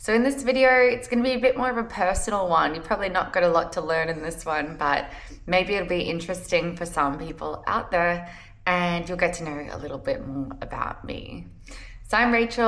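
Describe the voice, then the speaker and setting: In an Australian accent, a woman talks at a fairly quick pace with a fairly low pitch and lively intonation, with audible room echo. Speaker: travel points and credit card content creator. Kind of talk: personal vlog talk to camera. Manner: casual, conversational.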